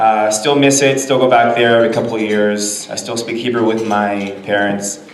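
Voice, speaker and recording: Over noticeable background noise and audible room echo, a man with a Californian accent talks at a fairly quick pace with ordinary pitch variation. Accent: General American, Californian. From Los Angeles, raised from age nine (born in Israel). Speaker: business lawyer. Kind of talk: presentation to a business audience. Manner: casual, with frequent fillers.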